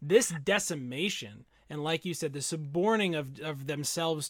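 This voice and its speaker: On a very clean recording with a silent background, a man with an ordinary speaking voice talks at a moderate pace, fairly high in pitch with ordinary pitch variation. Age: 30s. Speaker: podcast co-host. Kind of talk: casual chat.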